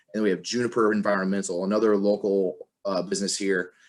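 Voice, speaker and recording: A man talks at a very fast pace in a fairly low pitch. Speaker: nature center educator presenting a webinar. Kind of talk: webinar presentation. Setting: online webinar. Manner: casual with many fillers.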